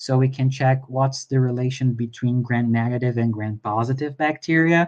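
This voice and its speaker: Moderate pace against a quiet background. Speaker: veterinarian lecturer. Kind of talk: lecture. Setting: live online talk. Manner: halting, with fillers.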